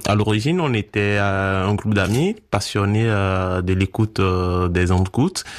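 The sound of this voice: A man's fairly low pitch with ordinary variation, a Beninese accent and a fairly slow pace.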